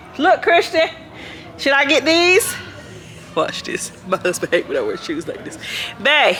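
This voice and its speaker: Over music in the background, a woman speaks loudly at an extremely high pitch with lively intonation, moving at a fairly slow pace with long, frequent pauses. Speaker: family vlogger. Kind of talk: casual vlog chat while shopping.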